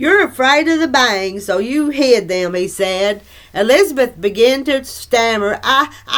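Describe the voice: The clip is plain reading aloud delivered with lively intonation.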